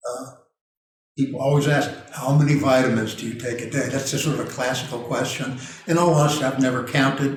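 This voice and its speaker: In a room with audible echo, a man with a medium pitch talks at a very fast pace in a monotone, flat intonation. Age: 70s. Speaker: nutritional consultant. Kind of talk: casual chat.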